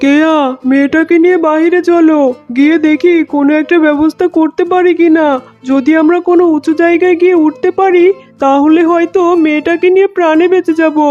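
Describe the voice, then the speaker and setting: A cartoonish character voice moves at a moderate pace. Faint music plays in the background. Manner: steady, consoling.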